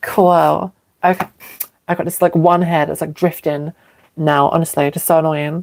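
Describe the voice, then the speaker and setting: In a British accent, a woman with a fairly low pitch speaks at a moderate pace with monotone, flat intonation. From England. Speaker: live streamer. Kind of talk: casual livestream chat. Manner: hesitant, many fillers.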